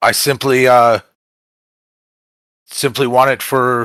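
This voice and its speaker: A man performs a put-on character voice at medium pitch. His delivery is fairly slow and monotone, with flat intonation. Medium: actual play. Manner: gruff, terse.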